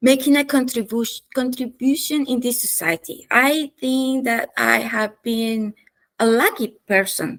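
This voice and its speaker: A woman's high-pitched voice with a non-native accent and ordinary pitch variation. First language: not English. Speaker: business consultant. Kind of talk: interview. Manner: passionate; halting.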